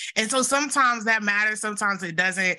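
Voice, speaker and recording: Against a quiet background, a woman with a Southern US accent speaks in a bright, sharp tone with ordinary pitch variation. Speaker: podcast co-host. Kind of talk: casual chat, interview. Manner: excited, animated.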